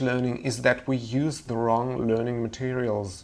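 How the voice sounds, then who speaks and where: A man in a Russian accent at a medium pitch and moderate pace, with audible room echo. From Russia, Moscow. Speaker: language teacher. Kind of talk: webinar lecture.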